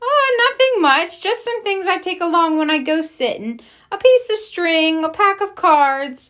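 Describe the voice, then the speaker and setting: A woman puts on a loud character voice at an extremely high pitch. She keeps a moderate pace. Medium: read story. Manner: jolly, strong way of saying things, folksy.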